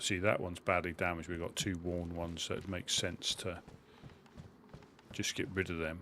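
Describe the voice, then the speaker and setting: Fairly quick speech in a Suffolk accent, bright and sharp in tone, monotone and flat, with long, frequent pauses. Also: man, very deep, low pitch for a man. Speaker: gaming streamer. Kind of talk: live gameplay commentary. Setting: live stream. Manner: casual, chatty.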